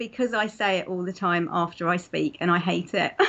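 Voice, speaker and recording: A woman with a slight London accent, at a moderate pace and with ordinary pitch variation. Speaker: interviewee sharing faith story. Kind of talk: testimony interview. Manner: hesitant, many fillers.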